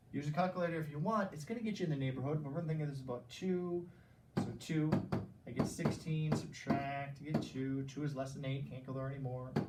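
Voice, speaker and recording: Noticeable noise sits in the background. The speech moves at a very fast pace. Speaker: school math teacher. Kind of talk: recorded classroom math lesson. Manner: animated.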